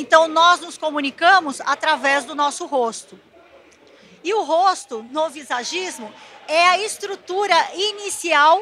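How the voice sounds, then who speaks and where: Against noticeable background noise, a woman uses a raised, projected voice with an extremely high pitch, lively intonation and a fairly slow pace. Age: 60s. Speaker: visagism lecturer. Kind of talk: lecture.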